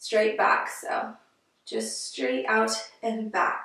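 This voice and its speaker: A woman's voice has audible room echo over a quiet background. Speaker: exercise instructor intern. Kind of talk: tutorial. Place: home room. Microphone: camera far.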